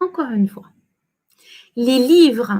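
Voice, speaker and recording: A woman is speaking. She has a French accent. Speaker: French teacher. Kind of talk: livestream language lesson. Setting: livestream.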